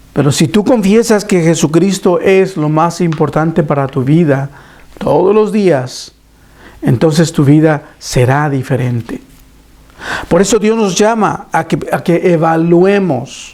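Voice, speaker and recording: Very slowly and with very even loudness, a man speaks at a high pitch. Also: ordinary pitch variation. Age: 60s. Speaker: preacher. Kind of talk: sermon. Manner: halting.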